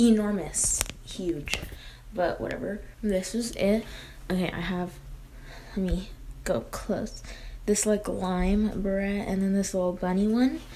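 A woman's fairly slow, fairly even-toned speech with long, frequent pauses over light background noise. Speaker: beauty vlogger. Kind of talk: casual vlog chat.

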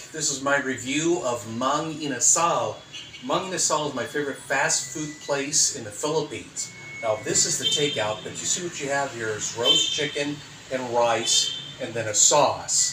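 A man with an American accent, fairly high pitch, ordinary pitch variation, moderate pace, noticeable background noise. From United States. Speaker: food reviewer. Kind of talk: casual talk to camera. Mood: upbeat, friendly. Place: home room. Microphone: phone near.

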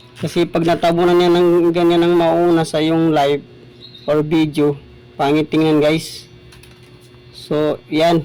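A man's fairly high-pitched, monotone delivery at a fairly slow pace, with flat intonation, very even loudness and long, frequent pauses. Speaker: small YouTuber. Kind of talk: tutorial.

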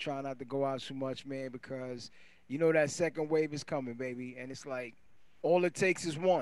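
A man's unremarkable speaking voice, fairly high-pitched and fairly quick, with fairly even intonation, big swings in loudness and a dry sound with no echo. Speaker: DJ and co-host. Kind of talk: casual chat. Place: studio. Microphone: handheld.

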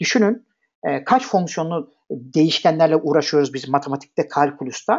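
Lively in intonation, a man with a fairly high voice talks at a moderate pace. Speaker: programming instructor. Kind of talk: lecture. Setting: live online class. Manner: hesitant fillers.

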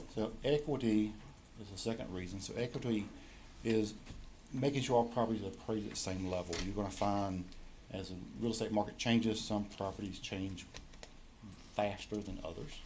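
Fairly quick speech broken by long, frequent pauses, with ordinary pitch variation and audible room echo. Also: man, fairly low pitch for a man. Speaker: county tax assessor presenting reappraisal. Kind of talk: presentation to county board. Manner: fast.

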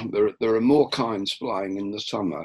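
Light background noise behind a male speaker. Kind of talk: lecture. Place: home room. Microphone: webcam.

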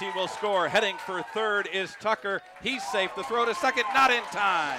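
A man with a high pitch speaks in a raised, projected voice at a moderate pace with hardly any pauses. The sound is dry with no echo, over loud background noise. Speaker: baseball play-by-play announcer. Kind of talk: live play-by-play commentary. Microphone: headset.

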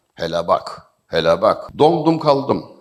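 His pitch swings very widely. This man speaks fairly slowly with vocal fry. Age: 50s. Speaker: literature lecturer. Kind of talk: public talk.

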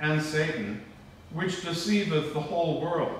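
The speech moves at a fairly slow pace, with strong room echo and light background noise. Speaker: priest. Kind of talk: liturgical prayer and sermon. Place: church. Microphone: camera far.

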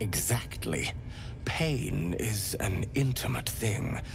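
A man's put-on character voice at a medium pitch, amid loud background noise. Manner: silky, intimate, unctuous; ecstatic, relishing.

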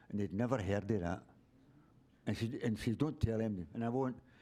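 A man with a Glasgow accent, a dark, mellow tone and a fairly quick pace. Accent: Scottish (Glasgow). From Scotland, Glasgow. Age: 70s. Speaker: member of the public at a council meeting. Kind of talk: public comment. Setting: city council meeting with audience. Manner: rambling, halting.

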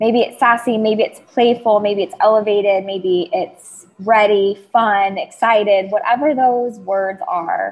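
In a fairly high voice with ordinary pitch variation, a woman speaks very slowly. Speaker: celebrity stylist, podcast host, business mentor. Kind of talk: guided meditation. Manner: slow, calm, soothing.

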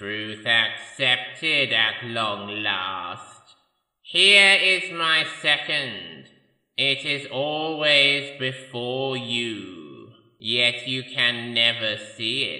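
A man uses a put-on character voice at medium pitch, moving at a very slow pace with lively intonation and a menacing tone. There is slight echo. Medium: audio drama. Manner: slow, menacing.

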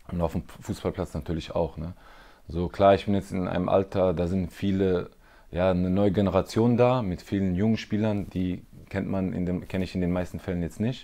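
With a dark, mellow tone and a very deep, low pitch, a man speaks at a moderate pace with fairly even intonation. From Germany, Freiburg (Baden); Baden, Germany. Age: 30s. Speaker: professional footballer. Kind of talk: interview. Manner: hesitant, many fillers. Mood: calm, reflective. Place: home room. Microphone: lapel.

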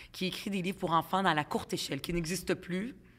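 This woman talks fairly quickly, her pitch varying in an ordinary way. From Quebec, Montreal (Ville-Saint-Laurent), immigrant from Lebanon as child; Quebec. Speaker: politician; podcast guest, politician. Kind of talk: podcast interview; interview answer. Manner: casual, hesitant with fillers. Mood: warm, reminiscing. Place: home room. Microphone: studio mic.

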